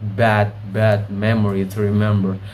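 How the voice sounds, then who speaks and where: A man with an Indonesian accent speaks in a fairly low voice, with noticeable background noise and audible room echo. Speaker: video blogger. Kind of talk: casual monologue. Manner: halting.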